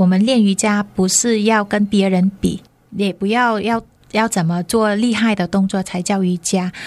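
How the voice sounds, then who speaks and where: In a very clean recording with a silent background, a woman speaks at medium pitch and a fairly slow pace. Her intonation is monotone and flat, her loudness very even. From northern Vietnam, Hanoi. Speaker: yoga teacher and Vietnamese teacher. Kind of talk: radio interview; yoga instruction.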